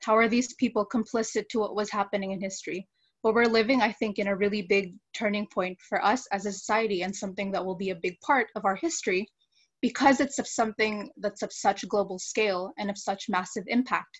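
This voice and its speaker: Her pitch sits in the medium range for a woman, and she sounds somewhat breathy. The woman talks at a fairly quick pace with fairly even intonation. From Philippines. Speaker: biology student. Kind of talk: live panel discussion.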